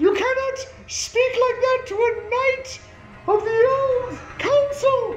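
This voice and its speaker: At a fairly slow pace, a put-on character voice speaks with extremely high pitch and a slight echo. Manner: indignant, haughty.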